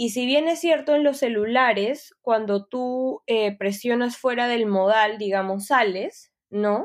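On a very clean recording with a silent background, a woman speaks at a very slow pace with hardly any pauses. Her fairly high pitch shows ordinary pitch variation. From Peru. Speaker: UX designer. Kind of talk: interview.

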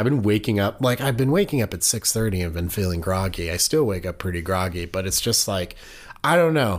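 Recorded very cleanly against a silent background, a man with an American accent uses an ordinary speaking voice at a fairly low pitch, with lively intonation and a fairly quick pace. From Oregon. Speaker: podcast co-host. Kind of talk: true crime storytelling, casual chat.

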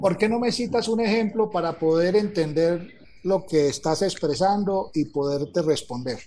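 Against noticeable background noise, a man with a high pitch talks at a fairly slow pace with ordinary pitch variation. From Colombia. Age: 50s. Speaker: retired army colonel. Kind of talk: conversation. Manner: formal.

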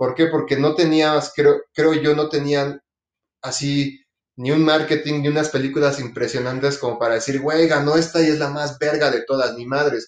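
At a moderate pace, a man with a fairly high pitch speaks in a flat, monotone way. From Mexico City. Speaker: podcast co-host. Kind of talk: casual chat.

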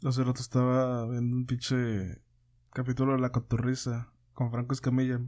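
A man with a Mexican accent, medium pitch and a dark, mellow tone, monotone and flat in intonation, very even in loudness, at a moderate pace. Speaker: podcast host. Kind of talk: casual chat.

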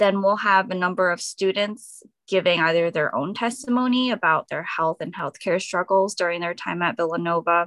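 In an unremarkable speaking voice with an American accent, the speaker keeps a moderate pace with hardly any pauses and ordinary pitch variation, in a dry, close sound with no echo over a quiet background. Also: woman, medium pitch for a woman. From New Jersey (Edison). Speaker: doctoral student and activist. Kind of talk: radio interview.

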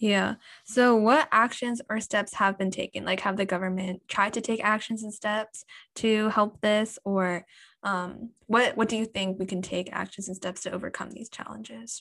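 On a very clean recording with a silent background, a woman with an American accent uses an ordinary speaking voice and fairly even intonation. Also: medium pitch for a woman, moderate pace. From USA. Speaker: podcast host. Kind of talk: interview.

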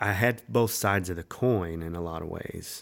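A man with a North Carolina accent, fairly slow pace and ordinary pitch variation. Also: very clean recording, silent background. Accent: Southern US (North Carolina). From North Carolina, Winston-Salem area. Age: 30s. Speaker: songwriter and musician. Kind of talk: casual chat.

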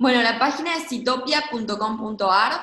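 At a fairly slow pace, a woman talks in an unremarkable speaking voice with ordinary pitch variation. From Argentina, Gualeguaychú (Entre Ríos). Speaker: urban agriculture project co-founder. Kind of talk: interview conversation.

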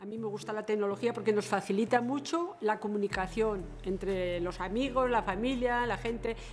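At a moderate pace, a woman talks with a fairly high pitch. Her pitch varies in an ordinary way over noticeable background noise. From Murchante, Navarra, Spain. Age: 70s. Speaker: retired bank employee. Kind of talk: casual group conversation.

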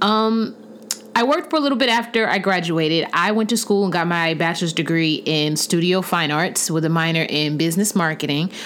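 A woman's fairly low, animated voice with lively intonation, a fairly quick pace and very even loudness, over noticeable background noise. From US South, Huntsville, Alabama. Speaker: podcast host, visual artist and art teacher. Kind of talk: casual monologue.

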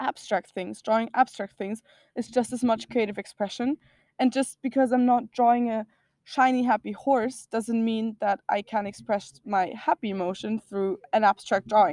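A woman with a German accent, fairly high pitch and a moderate pace, in a dry, close sound with no echo. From Austria. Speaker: self-love advocate. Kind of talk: casual chat.

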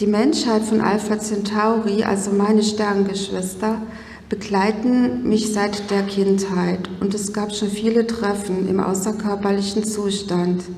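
Amid noticeable background noise and audible room echo, a woman speaks very slowly at a medium pitch with monotone, flat intonation. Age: 50s. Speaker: spiritual speaker. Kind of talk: conference talk. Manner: formal.

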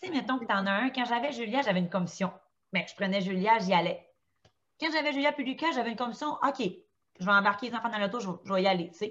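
Talking at a very fast pace with a Quebec accent, a woman uses a medium pitch and ordinary pitch variation. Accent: Québécois French. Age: 30s. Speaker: stay-at-home mother of four. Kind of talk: casual chat.

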